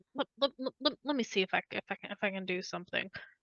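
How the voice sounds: A woman talks at a very fast pace with vocal fry, ordinary pitch variation and a fairly bright tone in a dry, close sound with no echo. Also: medium pitch for a woman.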